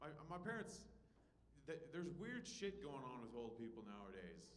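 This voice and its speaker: With audible room echo, a man's fairly high voice carries lively intonation at a moderate pace. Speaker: stand-up comedian and show host. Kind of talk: stand-up. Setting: comedy club stage with audience. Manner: stumbling over words, repeats.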